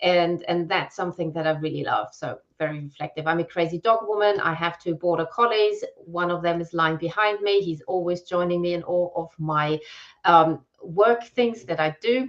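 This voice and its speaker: At a moderate pace, a woman with a German accent speaks in a fairly low voice with ordinary pitch variation. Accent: German accent, self-described as weird. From Germany. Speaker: copywriter and brand messaging strategist. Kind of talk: live-stream conversation. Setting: live video stream.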